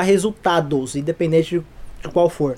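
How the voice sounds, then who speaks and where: Lively intonation from a man talking at a fairly quick pace. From São Paulo, Brazil. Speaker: photographer and director. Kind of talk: casual chat.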